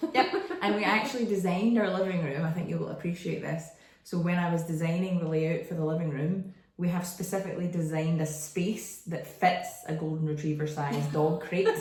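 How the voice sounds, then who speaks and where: A woman with a Glaswegian accent speaks at a fairly low pitch, her pitch varying in an ordinary way. Audible echo from the room surrounds her voice. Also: fairly quick pace. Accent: Glaswegian Scottish. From Scotland, Glasgow. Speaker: branding photographer. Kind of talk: podcast interview.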